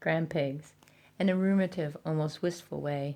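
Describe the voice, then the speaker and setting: At a moderate pace, a woman speaks in a very deep, low voice with fairly even intonation. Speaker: amateur audiobook reader. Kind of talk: audiobook reading.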